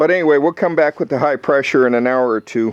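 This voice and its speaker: Over noticeable background noise, a man speaks with ordinary pitch variation in a dry, close sound with no echo. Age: 60s. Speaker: boat owner vlogger. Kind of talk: casual video log. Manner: halting.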